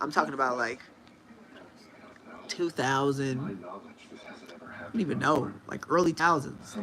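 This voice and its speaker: A man speaks at a fairly slow pace with long, frequent pauses and lively intonation. Noticeable background noise runs underneath. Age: 30s. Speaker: livestreamer. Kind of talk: casual chat.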